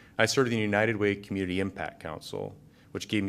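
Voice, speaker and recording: A man's fairly low voice with a Midwestern American accent and fairly even intonation, in a very clean recording with a silent background. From north central Iowa. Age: 40s. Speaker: city council candidate. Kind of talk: candidate forum.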